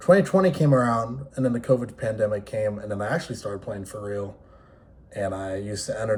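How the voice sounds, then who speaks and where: A man with an American accent talks at a fairly quick pace in a fairly low, somewhat breathy voice, with ordinary pitch variation and big swings in loudness. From New York City area. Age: 20s. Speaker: esports player and content creator. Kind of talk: casual vlog monologue. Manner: casual, unscripted with pauses.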